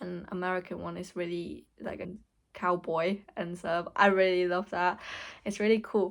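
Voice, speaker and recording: Recorded very cleanly against a silent background, a woman with a Hong Kong accent talks at a fairly slow pace with fairly even intonation. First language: Cantonese. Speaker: vlogger. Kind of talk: casual vlog talk. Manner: halting.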